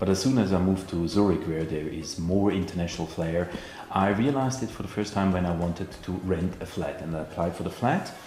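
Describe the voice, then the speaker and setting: A man speaks in a very deep, low voice, with noticeable background noise and audible room echo. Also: ordinary pitch variation, fairly quick pace. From Switzerland. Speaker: vlogger. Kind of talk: casual chat. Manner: halting, filler words.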